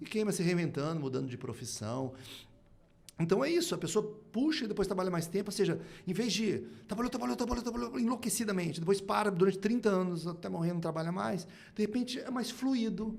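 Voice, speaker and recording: With audible room echo, the speech rushes at a very fast pace through very wide pitch swings. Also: man, high pitch for a man. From Brazil, moved between Curitiba, Rio and Manaus. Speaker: speaker and writer on innovation. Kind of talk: podcast interview.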